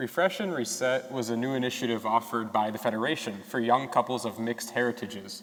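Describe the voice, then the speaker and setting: A man's medium-pitched voice with a western New York accent at a fairly quick pace. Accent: western New York American. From Rochester, New York. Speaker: medical student. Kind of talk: prepared speech reading.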